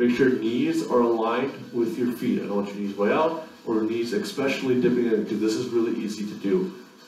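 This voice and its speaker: This man talks at a moderate pace. The room echo is audible, and light background noise sits underneath. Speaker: fitness instructor. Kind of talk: tutorial. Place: gym.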